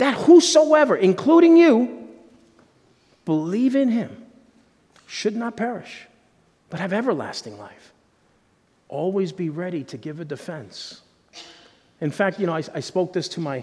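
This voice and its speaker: Pausing long and often, a man speaks at a fairly slow pace with very wide pitch swings. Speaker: pastor. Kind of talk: sermon. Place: church.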